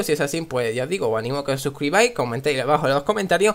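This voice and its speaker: Ordinary pitch variation in a man's voice. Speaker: gaming youtuber. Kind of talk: gameplay tutorial. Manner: animated.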